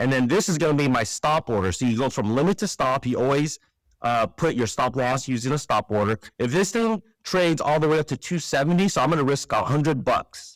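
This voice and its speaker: A man with an unremarkable speaking voice talks at a fairly quick pace, his pitch fairly high and his intonation lively. The recording is very clean with a silent background, and the sound is dry and close with no echo. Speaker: trading educator. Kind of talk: screen-share tutorial. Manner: casual with fillers.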